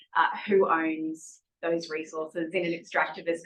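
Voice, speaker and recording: This woman has a strong Australian accent. Her voice sits fairly low in pitch. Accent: broad Australian. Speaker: conference participant. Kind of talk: panel discussion.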